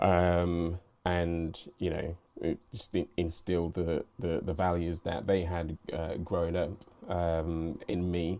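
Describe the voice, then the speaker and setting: A man with a London accent talks at a very slow pace in a very deep, low pitch, his tone dark and mellow and his intonation flat and monotone. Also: very clean recording, silent background. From southeast London. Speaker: creative leader and media entrepreneur. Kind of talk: casual interview chat.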